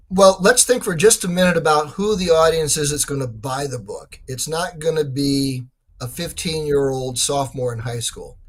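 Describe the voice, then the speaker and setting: Lively in intonation and moderate in pace, this is a plain, everyday voice with big swings in loudness. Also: man, fairly high pitch for a man. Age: 60s. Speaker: author. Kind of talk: interview.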